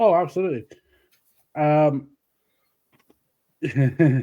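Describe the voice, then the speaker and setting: This man has a British accent and a dark, mellow tone. His pitch is fairly high, with ordinary variation. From UK. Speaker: wrestling podcast host. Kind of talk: casual chat.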